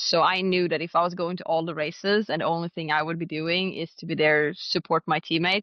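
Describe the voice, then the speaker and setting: With a Swedish accent, the delivery moves at a fairly quick pace. Intonation stays fairly even. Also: woman. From Sweden, Stockholm area, then Finnish island. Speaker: drag racer. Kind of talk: interview.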